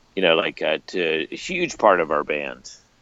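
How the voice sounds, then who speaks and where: A man's voice with noticeable background noise. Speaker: music podcast co-host and radio DJ. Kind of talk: casual chat.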